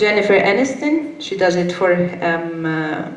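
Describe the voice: A woman speaks at a fairly slow pace and a fairly low pitch, with lively intonation. Strong room echo surrounds her voice.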